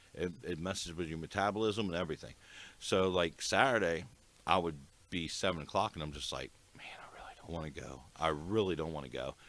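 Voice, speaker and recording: At a fairly quick pace, a man with an American accent and a very deep, low pitch speaks with ordinary pitch variation and big swings in loudness. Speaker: podcast host. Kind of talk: casual chat. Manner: hesitant, many fillers.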